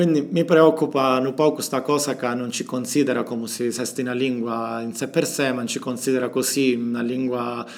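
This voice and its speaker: Here a man speaks with a Calabrian accent at a fairly quick pace. His pitch sits at a medium level. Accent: Calabrese. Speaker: doctoral student. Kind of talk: interview monologue about his language.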